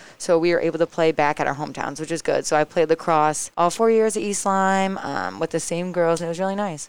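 In an American accent, a woman with an unremarkable speaking voice talks at a fairly quick pace, her fairly low pitch held in fairly even intonation, on a very clean recording with a silent background. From Connecticut, US. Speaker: college athlete. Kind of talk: casual interview.

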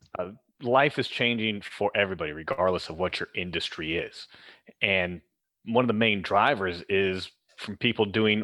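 A man with an unremarkable speaking voice at a fairly low pitch with ordinary variation, moderate pace, quiet background. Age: 40s. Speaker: corrective exercise specialist and personal trainer. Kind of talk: interview.

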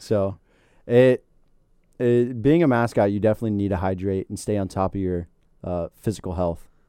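Pausing long and often, a man with a fairly low pitch and a dark, mellow tone speaks at a moderate pace with ordinary pitch variation. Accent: American. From Florida. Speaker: university mascot performer, student. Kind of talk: casual interview. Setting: studio.

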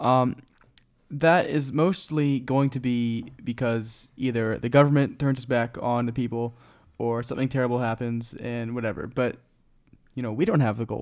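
In an American accent, a man with an unremarkable speaking voice talks at a medium pitch with fairly even intonation. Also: moderate pace. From Florida, Cuban family. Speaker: podcast guest. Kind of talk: casual chat.

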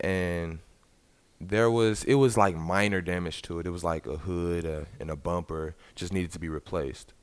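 The recording is very clean with a silent background. A man with a Southern US accent and a very deep, low pitch speaks at a moderate pace with ordinary pitch variation. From US South, Arkansas (Little Rock). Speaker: college basketball player. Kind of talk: interview.

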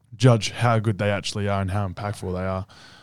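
A man with an Australian accent on a very clean recording with a silent background. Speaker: college basketball player and podcast co-host. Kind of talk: casual chat. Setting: studio.

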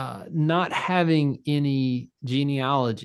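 With ordinary pitch variation, the clip presents a normal speaking voice. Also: man. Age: 30s. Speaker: pastor. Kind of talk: casual chat.

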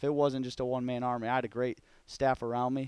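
A man with an Upper Midwest accent speaks at a very fast pace and a medium pitch. His intonation is monotone and flat, with a dry, close sound with no echo. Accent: Upper Midwest American. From Michigan, Grand Haven. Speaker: college football quarterback coach. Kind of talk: casual interview chat.

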